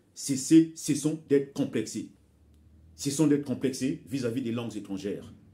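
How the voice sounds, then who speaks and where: A somewhat breathy man's voice in a Congolese accent, fairly high in pitch and dark and mellow in tone, at a fairly slow pace with ordinary pitch variation and long, frequent pauses. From Republic of Congo. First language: Bembe (speaking French). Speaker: author and commentator. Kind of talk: video monologue, cultural commentary. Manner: hesitant, with repetitions.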